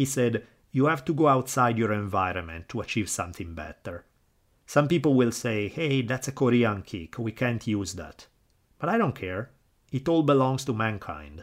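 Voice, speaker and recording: In a very clean recording with a silent background, a man of medium pitch speaks in a strong Italian accent at a moderate pace, his pitch swinging very widely. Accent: thick Italian. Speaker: history podcaster and professor. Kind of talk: scripted narration. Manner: enthusiastic, passionate.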